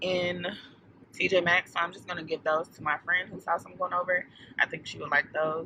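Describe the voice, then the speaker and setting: Noticeable background noise runs under a woman whose voice has a fairly low pitch. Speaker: lifestyle vlogger. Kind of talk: vlog casual chat. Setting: outdoors in a snow storm. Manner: animated.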